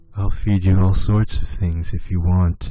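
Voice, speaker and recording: In a put-on character voice, a man speaks at a very deep, low pitch with a raspy, monotone, flat delivery at a moderate pace. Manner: creepy, sinister.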